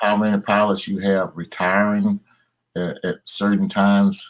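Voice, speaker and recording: Intonation stays fairly even as the words unfold fairly slowly. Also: man. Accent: Southern US. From Tennessee, USA. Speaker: airline captain. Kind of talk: interview answer.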